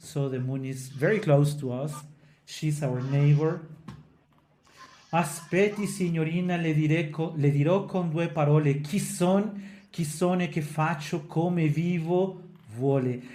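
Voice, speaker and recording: Room echo is audible around a man with a fairly high pitch. He talks at a fairly slow pace with fairly even intonation. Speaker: opera singer and podcast co-host. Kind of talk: casual educational discussion. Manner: halting, with frequent self-corrections.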